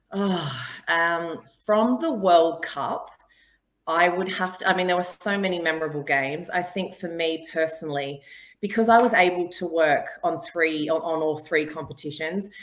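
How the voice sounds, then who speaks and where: Speaking at a moderate pace in an Australian accent, a woman uses a fairly low pitch and fairly even intonation. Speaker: sports broadcaster. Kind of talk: casual interview.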